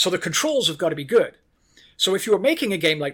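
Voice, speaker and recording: Lively intonation and a bright, sharp tone on a very clean recording with a silent background. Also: man. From Ireland. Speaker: video game design director. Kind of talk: interview conversation.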